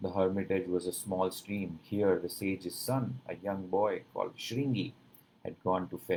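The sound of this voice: An unforced reading voice, its pitch variation ordinary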